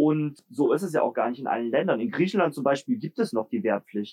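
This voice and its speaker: Speaking at a very fast pace, a man with a fairly high pitch swings very widely in pitch, heard in a dry, close sound with no echo. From Germany, Leipzig (Saxony). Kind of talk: interview.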